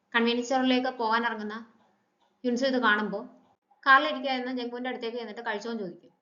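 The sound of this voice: A woman speaks very fast in a fairly high pitch, her tone bright and sharp and her intonation fairly even, with audible echo in the room.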